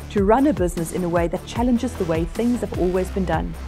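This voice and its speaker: A woman is talking. Music plays in the background. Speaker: keynote speaker. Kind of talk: motivational keynote talk. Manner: high energy.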